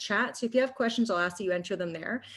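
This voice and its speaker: The woman speaks at a medium pitch with ordinary pitch variation. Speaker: nutrition coach and wellness entrepreneur. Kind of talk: webinar presentation. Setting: online meeting webinar. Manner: fast.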